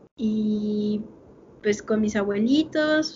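A woman speaks in a fairly high, somewhat breathy voice with a Mexican accent. Her pitch varies in an ordinary way. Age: 20s. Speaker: podcast co-host. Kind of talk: casual chat.

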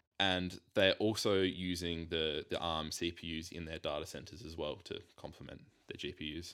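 With an Australian accent, a man speaks at a moderate pace with hardly any pauses, using a bright, sharp tone, a very deep, low pitch and monotone, flat intonation. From South Australia (Whyalla). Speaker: investor and podcast team member. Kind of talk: casual chat.

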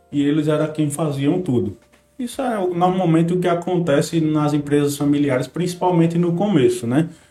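Against noticeable background noise, a man's fairly high voice shows ordinary pitch variation. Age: 20s. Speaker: family business manager, engineer. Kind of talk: casual chat.

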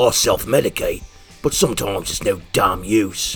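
Over clear background music comes a raspy, put-on character voice. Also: man. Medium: audio drama. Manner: crude, cocky, profane.

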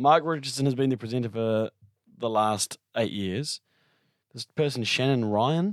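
Recorded dry and close with no echo, a man with a New Zealand accent speaks at medium pitch and a moderate pace with ordinary pitch variation. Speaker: podcast co-host. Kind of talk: casual chat.

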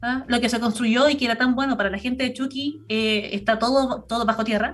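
A woman's high-pitched voice with fairly even intonation. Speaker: environmental commentator. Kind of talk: radio interview. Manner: fast; halting.

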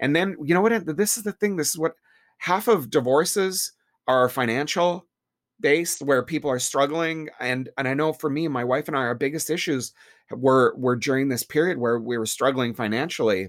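An unremarkable speaking voice from a man, fairly high in pitch, lively in intonation, at a moderate pace, on a very clean recording with a silent background. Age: 50s. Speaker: salon owner and hairdresser. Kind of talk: casual interview.

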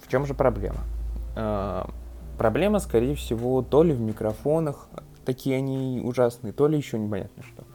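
Long, frequent pauses from a man speaking at a moderate speed, his loudness swinging widely. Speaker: tech podcaster. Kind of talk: casual review monologue. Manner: hesitant, filler-heavy.

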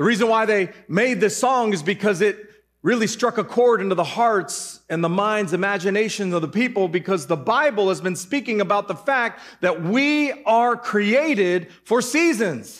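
This man has a high pitch and lively intonation, talking at a moderate pace with very even loudness and hardly any pauses. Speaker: pastor. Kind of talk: sermon.

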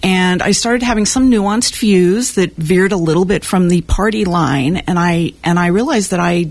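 A woman speaks in an ordinary speaking voice. Her pitch varies in an ordinary way, at a moderate pace. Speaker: civic dialogue volunteer. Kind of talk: radio interview. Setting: studio.

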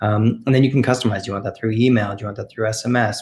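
Somewhat breathy and fairly low-pitched, a man speaks with a Canadian accent in a monotone, flat intonation. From Canada. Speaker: software company representative. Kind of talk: casual interview.

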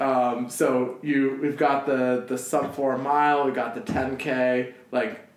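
Against noticeable background noise, a man talks at a fairly slow pace with very even loudness. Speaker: podcast host. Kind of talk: casual chat. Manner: casual, joking.

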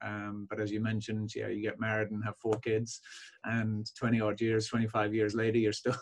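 Here a man talks at a moderate pace in a Belfast accent. His fairly low voice stays monotone and flat. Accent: Belfast Northern Irish. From Northern Ireland, Belfast. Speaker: chiropractor. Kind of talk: interview podcast conversation.

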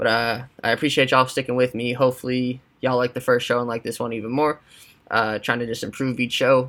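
Delivered at a very fast pace, a man's medium-pitched voice stays monotone and flat. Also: very clean recording, silent background. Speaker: sports podcast host. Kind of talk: casual solo podcast.

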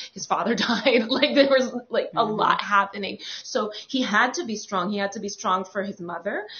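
Someone with an American accent speaks at a moderate pace with hardly any pauses, ordinary pitch variation and big swings in loudness, over noticeable background noise. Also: woman, fairly high pitch for a woman. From New York. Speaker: podcast host. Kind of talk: casual panel chat.

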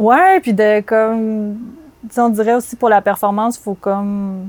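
A woman with a Quebec accent talks at a medium pitch with fairly even intonation, the sound dry and close with no echo. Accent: Québécois French. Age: 30s. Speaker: advertising art director. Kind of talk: casual chat. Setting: outdoors.

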